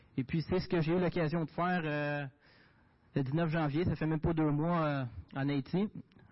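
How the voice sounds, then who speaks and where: A man with a Quebec accent speaks at a fairly high pitch with fairly even intonation. His loudness stays very even, broken by long, frequent pauses. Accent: Québécois French. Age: young. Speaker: diesel mechanic and volunteer for a Bible-distribution association. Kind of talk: testimony and mission report at a church service. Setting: church.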